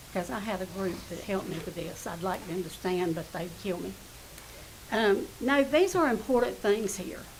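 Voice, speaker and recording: A woman speaks with a Southern US accent and lively intonation. Noticeable background noise and audible room echo surround her voice. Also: medium pitch for a woman, moderate pace, big swings in loudness. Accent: US South. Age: 70s. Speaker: resident speaking at public comment. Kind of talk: public comment at council meeting. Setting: council chamber.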